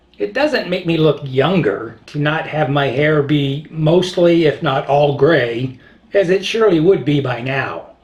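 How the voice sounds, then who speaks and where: A man with a fairly high pitch uses a normal speaking voice with ordinary pitch variation. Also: fairly slow pace. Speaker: video blogger. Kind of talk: casual monologue.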